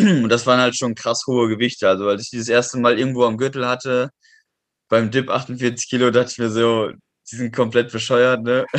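A man speaks in a monotone, flat intonation. His loudness swings widely. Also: medium pitch for a man, moderate pace. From western Germany, near Düsseldorf. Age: 20s. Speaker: calisthenics athlete and metalworker. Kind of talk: casual interview.

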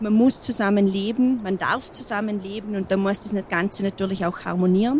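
Noticeable background noise runs under a woman's fairly high voice. She keeps a moderate pace and fairly even intonation. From Montafon, Vorarlberg, Austria. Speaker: mountain hut landlady. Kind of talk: interview. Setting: mountain hut.

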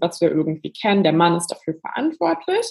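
The woman talks at a fairly quick pace, her voice somewhat breathy. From western Germany, near Cologne. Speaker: journalist and author. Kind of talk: podcast interview.

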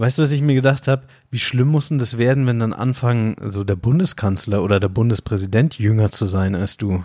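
The man's tone is dark and mellow. He talks at a fairly quick pace. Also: medium pitch for a man, ordinary pitch variation, very clean recording, silent background. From Bavaria, suburb of Munich. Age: 30s. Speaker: podcast host. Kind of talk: casual chat.

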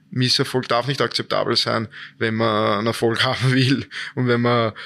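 A man speaks at a medium pitch and a moderate pace, his bright, sharp tone delivered in a flat monotone over a very clean recording with a silent background. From Austria, Vienna. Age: 20s. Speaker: ice hockey player. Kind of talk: interview.

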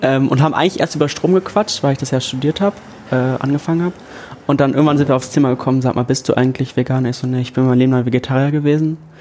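Speech rattles along at a very fast pace with fairly even intonation, over noticeable background noise. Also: man, medium pitch for a man. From northern Germany, Lower Saxony. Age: 20s. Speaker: education student. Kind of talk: casual chat.

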